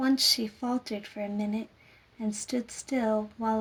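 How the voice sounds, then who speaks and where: Soft-spoken and gentle in tone, a woman talks at a very slow pace with monotone, flat intonation. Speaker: storyteller. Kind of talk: sleep story. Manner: soft-spoken, gentle.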